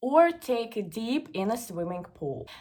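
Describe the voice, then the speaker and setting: The speech comes at a very slow pace with lively intonation. It is delivered in a Russian accent. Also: woman. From Moscow, Russia. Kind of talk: casual talk to camera.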